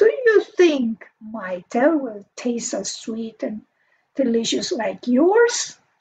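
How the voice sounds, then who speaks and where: A woman puts on a growling character voice pitched high. She speaks at a very slow pace. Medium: read story.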